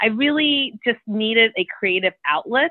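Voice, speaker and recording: A woman with an unremarkable speaking voice and an American accent talks at a moderate pace, with fairly high pitch and lively intonation. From New York City (the Bronx). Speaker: corporate lawyer and novelist. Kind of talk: interview.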